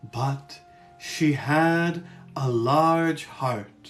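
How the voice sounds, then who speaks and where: A man uses a put-on character voice, fairly high in pitch. Faint music plays in the background. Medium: read story.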